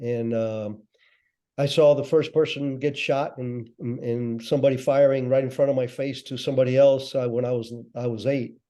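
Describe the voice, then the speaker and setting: A man's medium-pitched voice carries a dark, mellow tone as he speaks at a moderate pace. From Cuba. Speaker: former intelligence operative. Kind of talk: interview.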